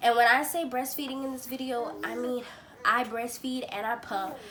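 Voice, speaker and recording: A woman with a high voice speaks fairly slowly. Noticeable background noise and audible room echo surround her. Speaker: parenting vlogger. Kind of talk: casual vlog talk. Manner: casual, chatty.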